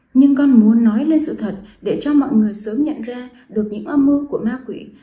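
With audible room echo, a woman speaks in a dark, mellow tone with ordinary pitch variation. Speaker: presenter. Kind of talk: scripted testimony address. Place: home room. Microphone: phone near.

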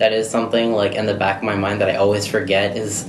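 With a Midwestern accent, a man talks in fairly even intonation over noticeable background noise. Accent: general American, Midwestern. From US Midwest. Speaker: nursing home employee. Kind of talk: casual interview. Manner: halting, filler-heavy. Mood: relaxed, casual. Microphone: phone near.

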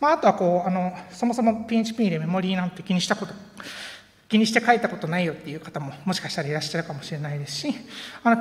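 The pace is very fast as a woman speaks. Her intonation moves in a lively way. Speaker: conference speaker, software engineer; conference speaker. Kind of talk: conference talk. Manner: halting with many fillers. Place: hall.

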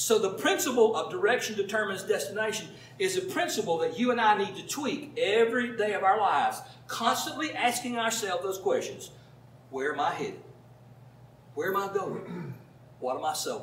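A man's high-pitched voice at a fairly quick pace, with very wide pitch swings, audible room echo and light background noise. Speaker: pastor. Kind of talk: sermon. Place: home room.

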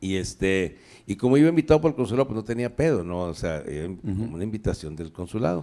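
Against a quiet background, a man speaks very fast in a fairly low pitch with a dark, mellow tone and very wide pitch swings. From northern Mexico, Torreón; northern Mexico. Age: 60s. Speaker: comedian. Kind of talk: casual chat. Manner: animated. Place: studio. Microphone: handheld.

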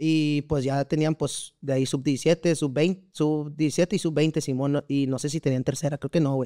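Against a quiet background, a man with a dark, mellow tone speaks at a fairly slow pace in a monotone, flat intonation. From central Mexico, Valle de Bravo, State of Mexico; State of Mexico. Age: 20s. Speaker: amateur footballer; podcast guest. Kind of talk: casual interview chat. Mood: relaxed, slangy storytelling. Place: studio. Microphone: studio mic.

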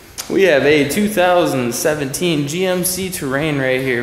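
The room echo is audible here. A man is the one talking. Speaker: car salesperson. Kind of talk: product walkaround commentary. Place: garage. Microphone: phone near.

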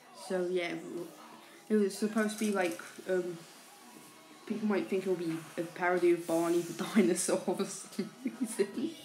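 A soft-spoken woman with ordinary pitch variation and long, frequent pauses, music in the background. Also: medium pitch for a woman, moderate pace. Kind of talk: casual talk to camera. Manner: quiet, soft-spoken.

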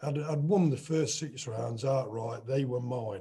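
A man with an East Midlands accent speaks at a very slow pace in a dark, mellow tone that is somewhat breathy. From England. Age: 60s. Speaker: boxer. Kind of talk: casual chat. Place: home room. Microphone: video call.

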